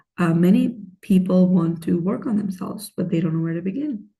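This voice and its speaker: A woman's medium-pitched voice, dark and mellow in tone, with vocal fry, lively intonation and a fairly quick pace. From Pakistan, moved to Michigan at sixteen. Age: 30s. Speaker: life coach. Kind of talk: self-help talk to camera.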